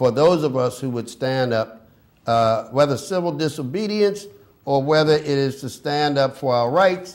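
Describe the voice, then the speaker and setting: Medium in pitch, a man speaks at a fairly slow pace with lively intonation. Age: 60s. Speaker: activist. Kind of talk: casual chat. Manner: halting.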